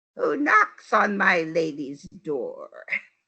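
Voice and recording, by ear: A female-sounding, put-on character voice at medium pitch.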